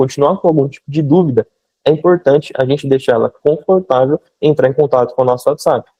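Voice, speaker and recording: Very fast speech from a man with a fairly high pitch and ordinary pitch variation. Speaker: e-commerce mentor. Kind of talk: live online mentoring session.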